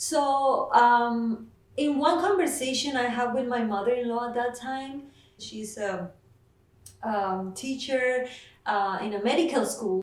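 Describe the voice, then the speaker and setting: A woman speaks in a Mexican accent with a high pitch and lively intonation. The room echo is audible and the background noise is noticeable. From Mexico. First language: Spanish. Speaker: nurse. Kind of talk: interview. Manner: hesitant, many fillers.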